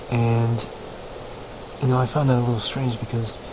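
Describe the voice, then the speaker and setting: A man's medium-pitched, monotone, flat delivery at a moderate pace, over noticeable background noise. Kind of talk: casual talk to camera. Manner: dull, flat; hesitant, stumbling.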